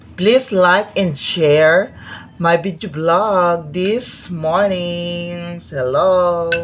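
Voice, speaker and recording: With ordinary pitch variation, a woman talks very slowly. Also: fairly low pitch for a woman. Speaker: vlogger. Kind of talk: casual eating vlog.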